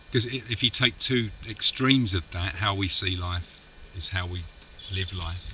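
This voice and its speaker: A man with an East London accent, very deep and low in pitch, moderate in pace, with ordinary pitch variation and noticeable background noise. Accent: Dagenham (East London). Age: 40s. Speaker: film co-producer. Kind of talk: casual chat. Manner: halting.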